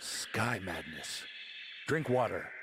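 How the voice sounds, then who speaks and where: A man does a put-on character voice at a medium pitch. Background noise is clearly audible. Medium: video game. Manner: terse.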